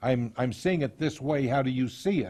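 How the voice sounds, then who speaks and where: A man's somewhat breathy voice at a moderate pace, with ordinary pitch variation and a quiet background. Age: 60s. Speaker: counselor on abuse recovery. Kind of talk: lecture.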